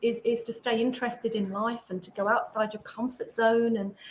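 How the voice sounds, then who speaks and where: A woman speaks with an English accent. Her pitch is fairly high. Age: 60s. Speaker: author and podcaster. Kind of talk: interview conversation.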